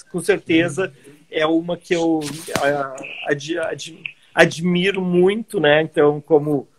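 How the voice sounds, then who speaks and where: With long, frequent pauses, a man speaks at a very slow pace in a high pitch and fairly even intonation. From southern Brazil, Caxias do Sul (Rio Grande do Sul). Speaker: world traveler and travel entrepreneur. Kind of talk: casual interview conversation. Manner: sped up for time.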